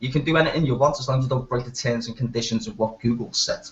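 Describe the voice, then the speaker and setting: In a strong Liverpool accent, a man talks at a very fast pace with a medium pitch. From Liverpool, northern England. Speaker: hangout participant. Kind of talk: casual chat.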